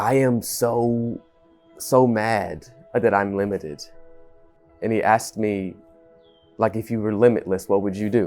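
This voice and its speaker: With music in the background, a man speaks at a fairly slow pace with long, frequent pauses, a fairly low pitch and fairly even intonation. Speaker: restaurant manager. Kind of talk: interview answer.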